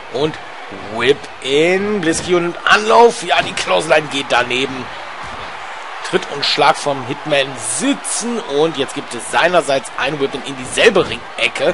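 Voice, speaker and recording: Speaking at a very slow pace, a man with a fairly high pitch and lively intonation is heard against noticeable background noise. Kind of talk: live sports commentary. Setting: gaming video voiceover. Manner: chatty, casual asides mixed with commentary.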